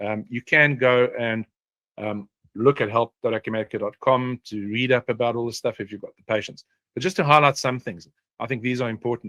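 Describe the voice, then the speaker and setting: Bright and sharp in tone, a man talks at a fairly quick pace with big swings in loudness, in a dry, close sound with no echo. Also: medium pitch for a man, ordinary pitch variation. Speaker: software consultant presenting a webinar. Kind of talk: webinar presentation. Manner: fast; many filler words and hesitations.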